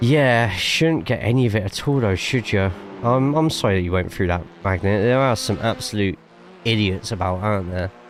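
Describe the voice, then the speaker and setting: Amid noticeable background noise, a man with an English accent speaks at a moderate pace and a fairly low pitch, with ordinary pitch variation and very even loudness. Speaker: sim racing streamer and commentator. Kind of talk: live stream chat with commentary. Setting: live stream. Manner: casual, chatty.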